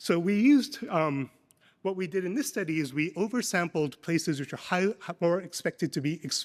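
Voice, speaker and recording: A man speaks with a high pitch and lively intonation in a very clean recording with a silent background. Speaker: economics professor. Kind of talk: academic conference presentation. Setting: conference panel session. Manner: fast.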